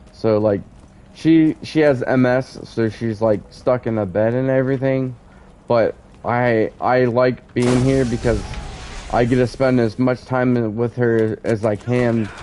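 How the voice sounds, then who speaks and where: A man speaks at a medium pitch with fairly even intonation. His pace is fairly slow, with music playing in the background. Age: 30s. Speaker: gamer streamer. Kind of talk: casual chat during gameplay stream. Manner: halting, filler-heavy.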